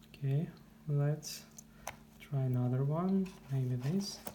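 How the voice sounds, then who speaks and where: The speaker has a non-native accent and talks at a very slow pace. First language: not English. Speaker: guitar player. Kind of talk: product review talk to camera. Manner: hesitant.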